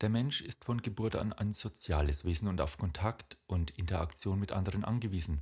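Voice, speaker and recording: Somewhat breathy, a man speaks at a moderate pace and a fairly low pitch, with ordinary pitch variation. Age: 50s. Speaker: podcast host. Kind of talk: reflective monologue.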